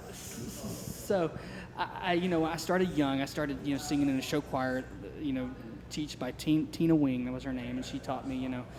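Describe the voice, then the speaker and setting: Audible room echo surrounds a man speaking at a moderate pace in a fairly high pitch with fairly even intonation. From Louisiana (Lake Charles). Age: 40s. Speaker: rock vocalist. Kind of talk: casual interview. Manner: halting, many fillers.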